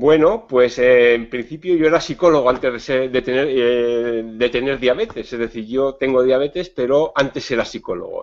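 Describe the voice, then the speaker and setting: A man with a normal speaking voice talks at a medium pitch and a moderate pace. There are hardly any pauses, and the pitch variation is ordinary. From Spain, Navarre (Pamplona). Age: 50s. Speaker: psychologist and diabetes educator. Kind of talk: interview. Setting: video call.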